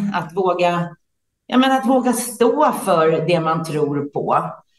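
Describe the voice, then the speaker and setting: A woman speaks at a fairly slow pace in a fairly low pitch, her intonation lively. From Sweden, Stockholm area. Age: 50s. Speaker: entrepreneur and business leader. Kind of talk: interview. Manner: hesitant, many fillers.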